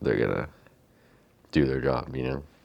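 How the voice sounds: A soft-spoken man talks at an extremely low pitch, with vocal fry and a slightly mellow tone.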